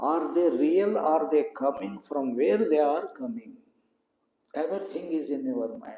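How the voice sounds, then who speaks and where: A man with a Telugu accent, fairly high in pitch, with very wide pitch swings. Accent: Indian (Telugu) English. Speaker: spiritual teacher. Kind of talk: satsang talk.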